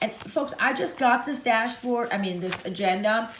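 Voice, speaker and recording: A woman's voice with audible room echo. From Russia. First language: Russian. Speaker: YouTuber, planner and luxury goods vlogger. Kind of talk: casual tutorial show-and-tell. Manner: casual, halting with fillers.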